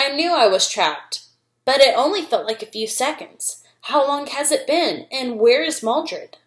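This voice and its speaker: A woman uses a put-on character voice at a high pitch. She talks at a moderate pace. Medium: read story. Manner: earnest.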